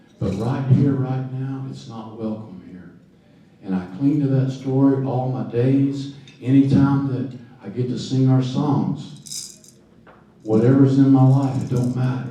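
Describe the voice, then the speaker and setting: A man's medium-pitched voice at a fairly slow pace, with big swings in loudness and audible room echo. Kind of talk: storytelling talk.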